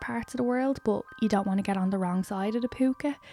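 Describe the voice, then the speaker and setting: Music plays in the background. The speech has ordinary pitch variation at a fairly quick pace. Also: woman. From Ireland. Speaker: lifestyle and book YouTuber. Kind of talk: casual vlog talk to camera.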